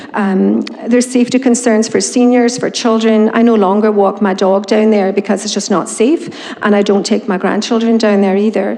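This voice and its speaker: A woman with a fairly high pitch speaks at a moderate pace with fairly even intonation. Audible room echo and noticeable background noise surround her. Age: 60s. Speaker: resident speaking at council meeting. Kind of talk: public comment. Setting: town council chamber. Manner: informal, hesitant with many ums.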